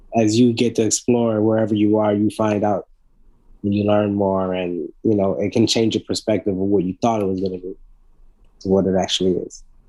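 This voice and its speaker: Fairly low and flat in intonation, a man's voice with a dark, mellow tone moves at a fairly quick pace. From Congo, then Philadelphia from age 9. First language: Congolese native language. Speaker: rapper and recording artist. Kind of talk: interview conversation. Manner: halting with many repetitions.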